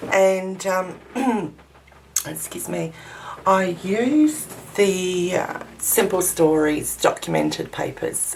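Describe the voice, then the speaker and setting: A woman speaks at a very slow pace with long, frequent pauses and big swings in loudness. Audible room echo and noticeable background noise surround her. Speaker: crafting video maker. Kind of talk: tutorial. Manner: hesitant, many ums.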